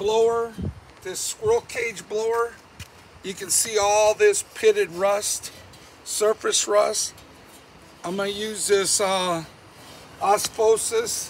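A man speaks in a high pitch at a very slow pace, with monotone, flat intonation, long, frequent pauses and light background noise. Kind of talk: tutorial. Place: garden.

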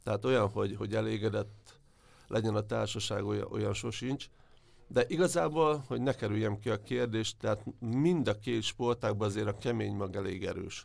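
In a very clean recording with a silent background, a man speaks at a fairly low pitch with vocal fry and ordinary pitch variation. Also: moderate pace. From Hungary, Debrecen. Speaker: sports journalist. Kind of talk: interview.

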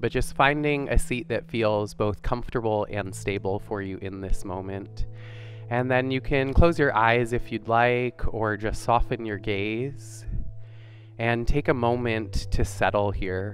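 Over music in the background, a man speaks at a fairly slow pace and fairly low pitch, the sound dry with no echo. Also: ordinary pitch variation. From Vancouver, Canada. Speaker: yoga and meditation guide. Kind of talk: guided yoga class instruction. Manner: calm, gentle. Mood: calm, soothing. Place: studio. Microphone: headset.

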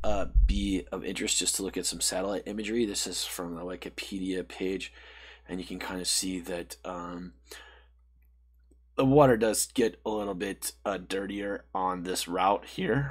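A man speaks at a moderate pace with a very deep, low pitch. His pitch varies in an ordinary way against a quiet background. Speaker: presenter. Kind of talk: tutorial.

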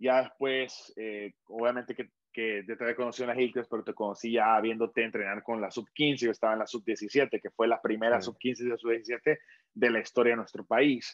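A man with a Honduran accent speaks at a moderate pace and medium pitch, his intonation monotone and flat. The background is quiet and the sound is dry with no echo. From Honduras (Tegucigalpa); Honduras. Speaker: podcast host; interview host. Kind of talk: interview. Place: home room. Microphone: video call.

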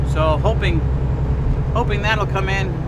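A man speaks at a moderate pace. Loud background noise fills the clip. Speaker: truck driver vlogger. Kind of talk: casual vlog chat. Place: car.

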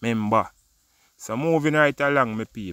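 A man with a Jamaican accent speaks at a medium pitch with ordinary pitch variation and a bright, sharp tone. The recording is very clean with a silent background and a dry, close sound with no echo. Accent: Jamaican, Patois-inflected. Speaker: vlogger, news commentator. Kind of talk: opinion vlog monologue. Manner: animated.

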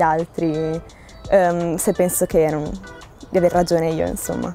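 Music plays faintly in the background as a woman speaks with fairly even intonation. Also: dry sound with no echo. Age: young. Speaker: student. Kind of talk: interview answer. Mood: calm, thoughtful. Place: garden.

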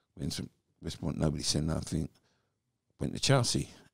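A man's very deep, low voice comes through with a dry sound, no echo and a quiet background. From England. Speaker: former professional footballer; podcast guest. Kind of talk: podcast interview, personal life story. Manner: animated storyteller. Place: home room. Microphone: handheld.

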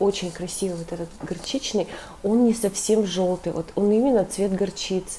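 Her medium-pitched voice moves at a moderate pace, and this woman keeps her intonation fairly even. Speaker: knitting vlogger. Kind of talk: casual vlog. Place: home room. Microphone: earbuds.

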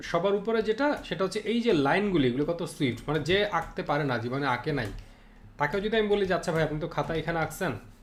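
Over music in the background, a man talks with a high pitch and lively intonation. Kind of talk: live-streamed drawing tutorial. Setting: live stream with screen share. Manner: casual, conversational.

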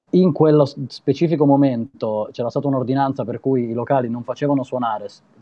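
Very fast speech from a man, pitch varying in an ordinary way. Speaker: guest. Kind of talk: interview answer. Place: home room. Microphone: video call.

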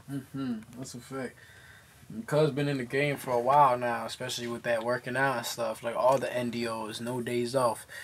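The speech moves at a moderate pace in monotone, flat intonation. Light background noise can be heard. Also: man. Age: 20s. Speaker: podcast host and rapper. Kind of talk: casual chat. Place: studio.

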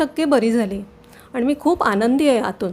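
A woman's high voice varies in pitch in an ordinary way. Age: 60s. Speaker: patient. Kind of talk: testimony.

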